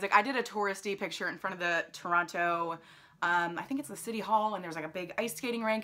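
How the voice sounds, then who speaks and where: A woman talks at a fairly quick pace with an American accent. Her pitch variation is ordinary. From New Jersey, US. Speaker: lifestyle vlogger. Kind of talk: travel vlog, casual talk to camera. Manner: rambling, filler-heavy casual speech. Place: home room. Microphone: phone near.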